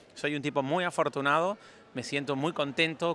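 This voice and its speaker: Fairly quick speech from a man, fairly high-pitched with a bright, sharp tone and fairly even intonation, on a very clean recording with a silent background. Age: 40s. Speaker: travel podcaster. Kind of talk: solo travel vlog monologue. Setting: airport departure gate.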